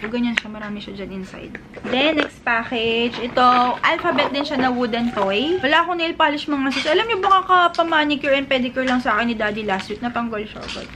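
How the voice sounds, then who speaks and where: A woman speaks very fast in a high voice, with lively intonation. Her loudness swings widely, and there is noticeable background noise. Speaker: vlogger and online seller. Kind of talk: casual vlog.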